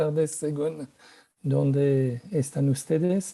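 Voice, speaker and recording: Speaking at a very slow pace with a French accent, a man uses fairly even intonation and a fairly high pitch. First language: French (speaking Spanish). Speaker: policy consultant, panelist. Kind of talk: conference presentation.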